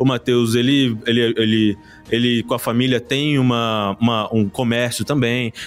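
A man at medium pitch with a Rio de Janeiro accent, at a moderate pace. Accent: carioca. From Rio de Janeiro (Pavuna). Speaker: teacher and board-game creator. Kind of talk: casual interview.

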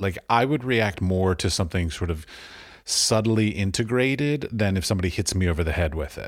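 In an ordinary speaking voice with an American accent, a man talks at a fairly low pitch on a very clean recording with a silent background. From Washington, D.C., US. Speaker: podcast host. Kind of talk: interview.

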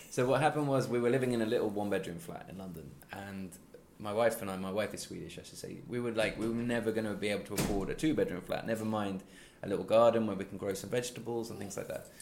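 A man with an East Midlands accent at a very fast pace, big swings in loudness, and audible room echo. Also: medium pitch for a man, ordinary pitch variation. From East Midlands, England. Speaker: crime novelist. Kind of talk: interview. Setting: in person at a book festival.

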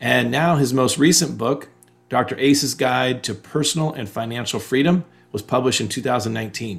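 A man's medium-pitched voice with vocal fry, ordinary pitch variation and a moderate pace. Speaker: podcast host and coach. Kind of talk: interview conversation.

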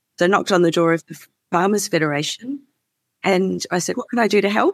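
A woman with an Australian accent, medium pitch and ordinary pitch variation, in a dry, close sound with no echo. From Melbourne, Australia. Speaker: CEO of a farmer climate advocacy group. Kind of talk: interview conversation.

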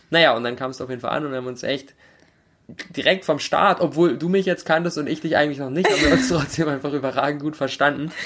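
A very fast pace with ordinary pitch variation. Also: man, fairly high pitch for a man. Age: 20s. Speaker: podcaster. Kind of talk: casual chat.

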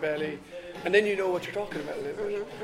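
The speaker has a Dublin accent and fairly even intonation. Noticeable background noise sits behind the voice. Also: man. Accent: Irish (Dublin area). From Ireland, Dublin area. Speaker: surf school owner and instructor. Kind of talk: casual interview. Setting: cafe.

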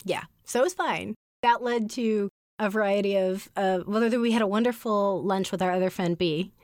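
In an ordinary speaking voice, a woman talks at a moderate pace and medium pitch with fairly even intonation. Her loudness stays very even in a very clean recording with a silent background. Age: 40s. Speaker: podcast co-host and editor. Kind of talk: casual chat.

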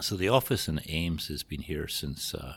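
A man with a Scottish accent talks at a moderate pace in vocal fry, his intonation fairly even. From Scotland. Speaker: trucking company general manager. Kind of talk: interview.

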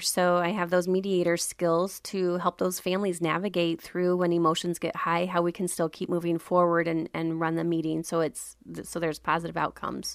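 A woman with an American accent and a plain, everyday voice talks at a fairly quick pace in a fairly low pitch, recorded very cleanly against a silent background. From Iowa, US Midwest. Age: 40s. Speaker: eldercare consultant. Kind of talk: interview.

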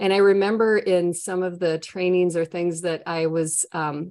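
Speaking with a Minnesotan accent, a woman keeps her intonation fairly even and her pitch fairly low. The background is quiet. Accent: Minnesotan, strong long O's.

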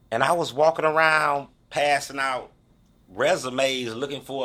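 With a bright, sharp tone and a fairly high pitch, a man talks at a fairly slow pace. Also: very clean recording, silent background. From St. Louis, Missouri (North St. Louis). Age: 50s. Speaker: formerly incarcerated university graduate. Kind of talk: interview. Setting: studio.

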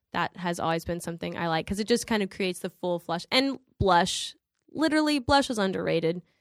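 A woman with a slight Southern US accent speaks fairly quickly at a medium pitch with lively intonation, the sound dry and close with no echo, the recording very clean over a silent background. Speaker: actress. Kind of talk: casual chat.

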